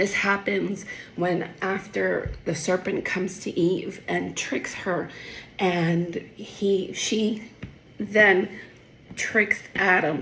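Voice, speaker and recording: Over light background noise, a woman puts on a raspy character voice at a medium pitch, speaking at a very slow pace with monotone, flat intonation. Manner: stuttering.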